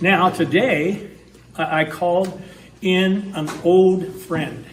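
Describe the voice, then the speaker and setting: Speech in an American accent comes at a very slow pace, with audible room echo and noticeable background noise. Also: man, high pitch for a man. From northwestern Wisconsin. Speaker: historical society historian and event host. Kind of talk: event introduction. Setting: town hall meeting with audience. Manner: halting, many fillers.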